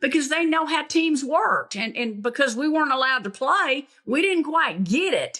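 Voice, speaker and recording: A woman's raised, projected voice in a Southern US accent, high-pitched with a bright, sharp tone, lively intonation and a moderate pace. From US South (Tennessee, Alabama). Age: 70s. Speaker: basketball coach. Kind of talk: interview.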